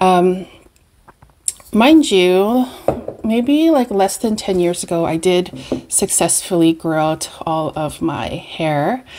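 In a Canadian accent, a woman at medium pitch uses a relaxed tone and lively intonation at a very slow pace with long, frequent pauses. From Canada, Winnipeg. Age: 40s. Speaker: beauty and perfume vlogger. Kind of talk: casual chat. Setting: home video recording. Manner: relaxed, rambling with fillers.

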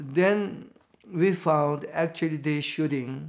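Very slow speech from a man, the background quiet. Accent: Korean. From North Korea, Pyongyang. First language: Korean. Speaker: reverend, Korean War survivor. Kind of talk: oral history interview answer. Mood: reflective, recounting wartime trauma. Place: home room.

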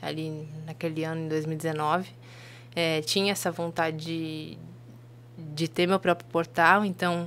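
Speaking very slowly with long, frequent pauses, a woman uses a fairly low pitch and a monotone, flat intonation against light background noise. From Blumenau, Santa Catarina, Brazil; Santa Catarina, Brazil. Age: 20s. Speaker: journalist and media founder; podcast guest, journalist. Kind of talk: casual interview chat. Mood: calm, reflective. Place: studio. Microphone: studio mic.

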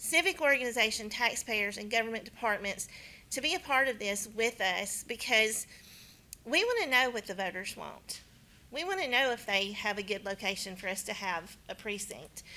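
A woman's fairly high, bright, sharp voice with a Southern US accent, lively intonation and a moderate pace. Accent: southern twang. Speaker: county elections official. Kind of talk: presentation at county board meeting.

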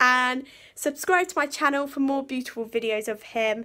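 At a moderate pace, a woman speaks in a bright, sharp tone against a quiet background. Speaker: horse channel vlogger. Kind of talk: casual vlog chat. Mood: cheerful, a bit sheepish. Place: home room. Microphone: phone near.

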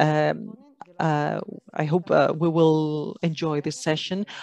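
In a dry sound with no echo, a woman with a very deep, low pitch speaks at a very slow pace with fairly even intonation. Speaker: conference moderator. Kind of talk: opening announcements. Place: meeting room. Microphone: podium.

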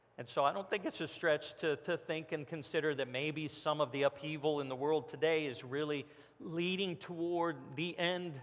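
The man's intonation stays fairly even as he speaks at a moderate pace. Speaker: pastor. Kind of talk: sermon. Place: church. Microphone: headset.

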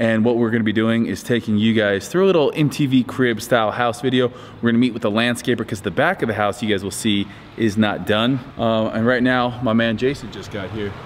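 With hardly any pauses and ordinary pitch variation, a man talks at a fairly quick pace over light background noise. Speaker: vlogger homeowner. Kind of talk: casual vlog chat. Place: garage. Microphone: phone near.

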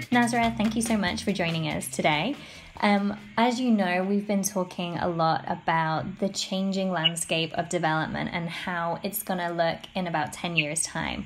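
Somewhat breathy, a woman talks at a fairly low pitch with ordinary pitch variation. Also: moderate pace. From UK. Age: young. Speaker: reporter. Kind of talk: interview.

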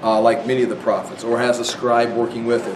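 Noticeable background noise sits behind a man who speaks at a fairly quick pace. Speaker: Bible teacher. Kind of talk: lecture. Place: classroom. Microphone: lapel.

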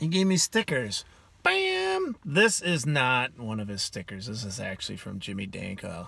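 A man with an American accent, animated and bright with a sharp tone, very wide pitch swings, big swings in loudness, a moderate pace, and a dry sound with no echo. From Wisconsin. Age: 40s. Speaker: YouTuber, amateur angler; vlogger. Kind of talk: casual vlog talk. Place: car. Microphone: phone near.

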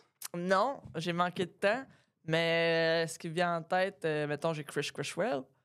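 The voice moves at a very slow pace with big swings in loudness against a quiet background. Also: woman, fairly low pitch for a woman, ordinary pitch variation. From Quebec. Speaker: comedian and podcast co-host; podcast co-host, comedian. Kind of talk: casual chat. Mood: relaxed, joking. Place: studio. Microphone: studio mic.

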